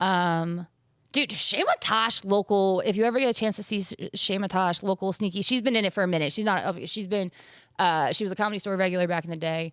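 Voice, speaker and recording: This woman speaks at a very fast pace. She has an American accent and a medium pitch. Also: ordinary pitch variation. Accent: Philadelphia accent, mostly trained away. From Philadelphia area, US. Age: 30s. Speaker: comedian. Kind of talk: casual chat.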